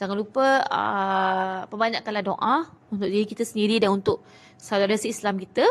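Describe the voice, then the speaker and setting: A woman's medium-pitched voice with fairly even intonation at a fairly quick pace. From Malaysia. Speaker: Quran reading teacher; Quran reading teacher, seller. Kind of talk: live-stream tutorial. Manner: fast. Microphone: phone near.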